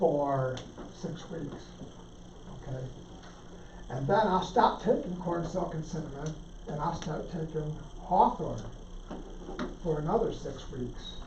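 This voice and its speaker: With long, frequent pauses and big swings in loudness, a man speaks at a fairly slow pace and high pitch with ordinary pitch variation, amid audible room echo and noticeable background noise. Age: 60s. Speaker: herbalist speaker at church talk. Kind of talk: casual talk on herbal medicine. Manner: halting, many repeated words.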